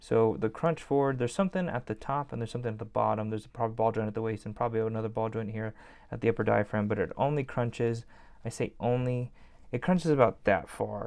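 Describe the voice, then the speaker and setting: Speaking very fast, a man keeps a medium pitch that varies in an ordinary way. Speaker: toy collector YouTuber. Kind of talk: product review. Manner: casual, filler-heavy.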